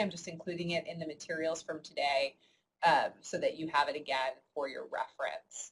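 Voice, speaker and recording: Her voice is somewhat breathy. The woman speaks in an American accent. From New York. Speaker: university instructor. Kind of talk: online lecture. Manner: fast; many filler words.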